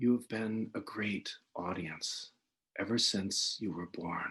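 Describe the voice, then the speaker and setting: A man whispers in a breathy, put-on character voice, deadpan and fairly slow. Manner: whispering, breathy, deadpan.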